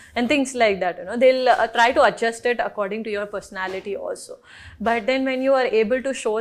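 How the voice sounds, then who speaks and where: A woman with a strong Telugu accent talks at a very fast pace and a fairly high pitch with ordinary pitch variation, in a very clean recording with a silent background. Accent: non-native Telugu accent, thick. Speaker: film actress. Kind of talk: interview.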